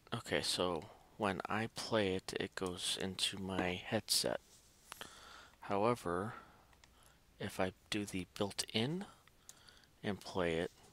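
A soft-spoken man's very deep, low voice with a bright, sharp tone and ordinary pitch variation, very slow with long, frequent pauses, dry with no echo. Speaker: tech YouTuber. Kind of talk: casual tutorial vlog. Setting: at home at night. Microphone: headset.

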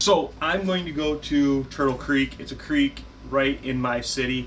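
Light noise sits in the background. The pace is fairly slow. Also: man. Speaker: fishing channel host, teacher. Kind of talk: casual vlog chat. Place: garage. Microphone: phone near.

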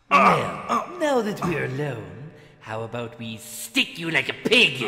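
A fairly slow, fairly high-pitched male voice. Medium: machinima. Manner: mocking, theatrical, menacing.

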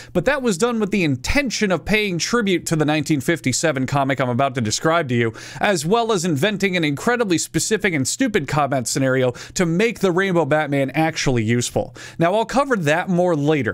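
A man at a fairly quick pace with very wide pitch swings, against a quiet background. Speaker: video commentator. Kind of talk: commentary. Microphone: studio mic.

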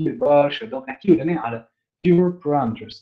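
Against a quiet background, a man talks at a moderate pace. His pitch varies in an ordinary way. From Tunisia. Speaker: student giving a technical talk; presenter. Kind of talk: lecture. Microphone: video call.

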